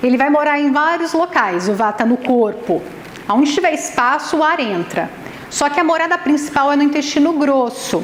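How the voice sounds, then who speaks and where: At a moderate pace, a woman with a Brazilian accent speaks in a high pitch with an animated tone, lively intonation and very even loudness, amid noticeable background noise and audible room echo. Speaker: nutritionist and ayurvedic therapist giving a talk. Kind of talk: lecture. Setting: event venue with live audience.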